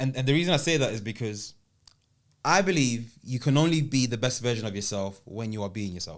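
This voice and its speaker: A man's fairly quick speech with lively intonation. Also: medium pitch for a man. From South London, England (born in Italy, Ghanaian heritage). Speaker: public speaker and speaking coach. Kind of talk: podcast interview.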